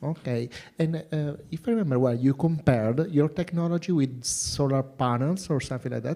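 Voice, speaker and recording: Fairly quick and fairly high-pitched, a man speaks with a dark, mellow tone. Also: ordinary pitch variation. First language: non-native English. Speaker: jury member. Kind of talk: Q&A questioning. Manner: halting.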